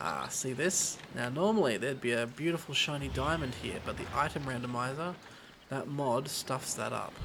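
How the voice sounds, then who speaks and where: With noticeable background noise and audible room echo, a man speaks at a fairly quick pace and medium pitch with ordinary pitch variation. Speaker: gaming let's play creator. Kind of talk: let's play commentary. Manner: casual, conversational.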